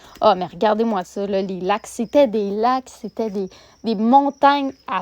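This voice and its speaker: A woman's fairly high voice with a Quebec accent, at a very slow pace, in a dry, close sound with no echo. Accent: Québécois French. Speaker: vlogger. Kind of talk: vlog narration. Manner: hesitant with fillers.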